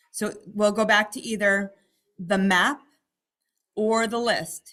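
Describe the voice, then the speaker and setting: A woman's bright, sharp, fairly high voice with fairly even intonation. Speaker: real estate trainer. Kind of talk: training webinar. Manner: fast.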